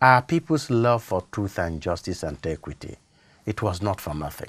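A man's lively intonation at a moderate pace. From Nigeria. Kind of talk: studio interview on faith and culture. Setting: studio. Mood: calm, reflective, earnest. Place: studio. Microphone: lapel.

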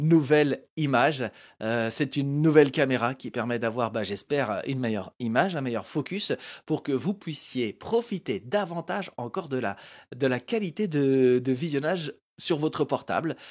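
Against a quiet background, a man talks at a moderate pace with a fairly high pitch. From France. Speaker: web show host. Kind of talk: live talk show interview. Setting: studio, live stream. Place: studio. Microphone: handheld.

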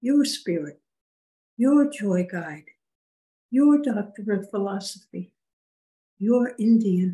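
A woman speaks very slowly with long, frequent pauses and lively intonation. Her voice is dark, mellow, and somewhat breathy. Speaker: spiritual medium channeling a spirit guide. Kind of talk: channeled spiritual guidance session. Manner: formal. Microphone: video call.

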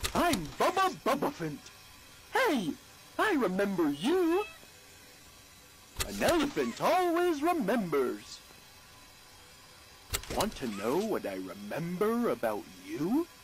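Over clear background noise, a man does a put-on character voice at a fairly slow pace with long, frequent pauses. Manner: friendly, faintly ominous.

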